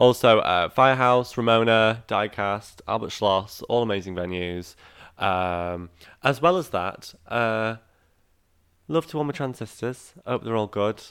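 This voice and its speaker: In a very clean recording with a silent background, a man speaks at a fairly slow pace with ordinary pitch variation. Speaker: drag performer. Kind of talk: casual chat. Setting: home living room.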